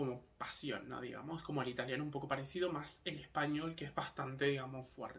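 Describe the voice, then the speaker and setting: There is noticeable background noise and audible room echo. A man speaks at a moderate pace with a fairly high pitch. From Canary Islands (Tenerife), Spain; born in Argentina. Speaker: vlogger. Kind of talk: casual monologue vlog. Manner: hesitant, many fillers.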